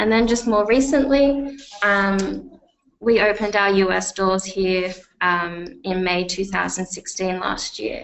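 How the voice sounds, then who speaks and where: At a fairly slow pace, a woman with an Australian accent speaks at a medium pitch with ordinary pitch variation, and room echo is audible. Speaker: software company representative. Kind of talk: webinar product demo. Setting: online webinar. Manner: hesitant, many fillers.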